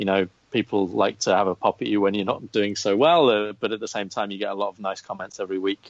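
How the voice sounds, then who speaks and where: A man talks at a very fast pace with an English accent and a fairly low pitch. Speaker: golf betting writer. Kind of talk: podcast interview.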